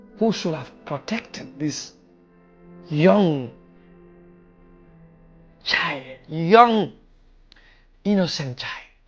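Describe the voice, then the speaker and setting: Speech comes at a very slow pace with long, frequent pauses while music plays in the background. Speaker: podcast host. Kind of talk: retelling a listener's story to camera.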